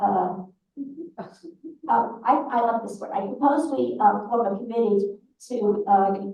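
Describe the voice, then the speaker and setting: Speaking very slowly with an American accent, a woman uses vocal fry and lively intonation, her loudness swinging widely. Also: medium pitch for a woman. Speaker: synagogue leader presenting annual report. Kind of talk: annual meeting report. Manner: halting.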